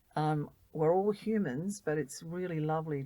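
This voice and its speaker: In an Australian accent, a woman speaks with lively intonation. Her voice is fairly low, with a dark, mellow tone. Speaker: volunteer. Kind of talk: interview. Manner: animated.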